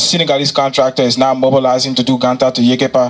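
A man rattles along at a very fast pace while light background noise sits underneath. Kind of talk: presentation speech. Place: hall. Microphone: handheld.

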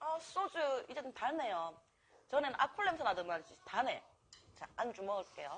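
A woman with a Busan accent speaks at a moderate pace in an animated tone, her high pitch making very wide swings. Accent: Gyeongsang (Busan) dialect. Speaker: mukbang streamer. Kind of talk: casual live-stream chat while eating. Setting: restaurant.

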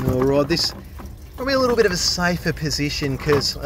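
Over noticeable background noise, a man with an Australian accent talks at a very fast pace, the sound dry with no echo. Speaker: drain cleaner. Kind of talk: casual vlog narration. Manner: animated. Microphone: camera far.

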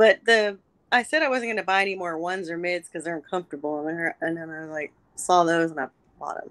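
Delivered at a very fast pace with an American accent, the speech has ordinary pitch variation and big swings in loudness. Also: woman, fairly low pitch for a woman. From New York. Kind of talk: casual chat. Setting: video call. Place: home room. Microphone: video call.

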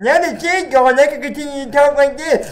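In a put-on character voice, someone talks high and at a fairly quick pace against clear background noise. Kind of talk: casual gaming commentary. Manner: comical, cartoonish.

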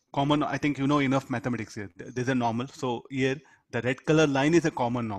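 A man with an Indian accent speaks very fast at a medium pitch with fairly even intonation, in a dry, close sound with no echo. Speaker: physics teacher. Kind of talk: lecture. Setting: video call. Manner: interactive, asks students questions.

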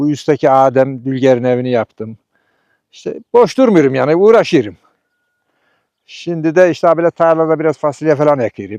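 A man with a fairly high pitch and a dark, mellow tone speaks at a moderate pace with lively intonation. The sound is dry and close, with no echo. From Turkey, Sivas province village. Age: 60s. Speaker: retired construction worker, villager. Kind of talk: casual interview testimony.

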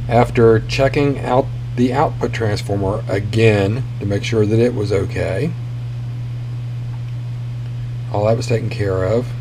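A man's fairly even intonation comes through over noticeable background noise. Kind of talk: tutorial. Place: home room.

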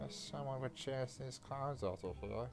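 Put-on character voice at a low-to-middle pitch, with clear background noise. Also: moderate pace. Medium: game stream.

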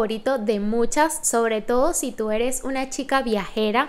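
This is a woman speaking. Her pitch is high. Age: 30s. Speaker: lifestyle vlogger. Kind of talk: product review vlog. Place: home room. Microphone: studio mic.

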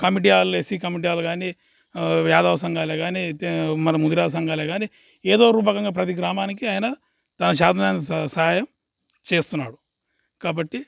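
This man has a high pitch and ordinary pitch variation. The sound is dry and close, with no echo. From Telangana, Mahabubnagar district. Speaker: villager. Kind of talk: interview.

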